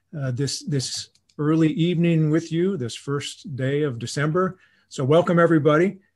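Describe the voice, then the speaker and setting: Against a quiet background, a man speaks somewhat breathily at a moderate pace, with ordinary pitch variation. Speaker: professor giving lecture. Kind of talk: lecture. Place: home room. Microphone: video call.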